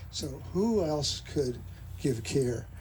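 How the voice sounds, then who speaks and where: Audible room echo follows a man as he speaks. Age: 80s+. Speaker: physician. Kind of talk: memorial speech.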